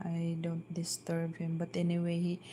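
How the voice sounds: Soft-spoken, a woman talks at a moderate pace in a fairly low pitch, her tone dark and mellow and her intonation monotone and flat.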